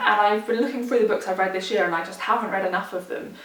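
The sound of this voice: Noticeable background noise is present in this clip. The woman talking shows ordinary pitch variation.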